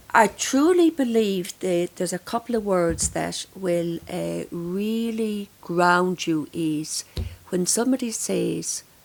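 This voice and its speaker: With an Irish accent, a woman speaks at a very slow pace. Her pitch is medium, with ordinary pitch variation. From Ireland. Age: 60s. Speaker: grief counsellor. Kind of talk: podcast interview.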